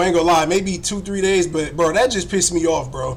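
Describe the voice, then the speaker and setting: A man talks very fast and loud in a high voice with an American accent. Audible room echo and noticeable background noise surround him. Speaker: sports live streamer. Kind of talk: casual live stream chat. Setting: live stream from home computer. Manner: animated.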